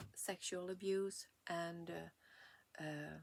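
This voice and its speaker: A woman speaks with a Swedish accent. Her voice is fairly low and her pace very slow. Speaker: vlogger. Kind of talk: personal testimony. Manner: halting.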